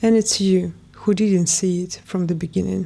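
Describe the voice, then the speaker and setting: Her voice has a dark, mellow tone, and this woman speaks with a non-native accent. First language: not English. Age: 20s. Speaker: lifestyle vlogger. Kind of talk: personal testimony read from a script. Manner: reading aloud.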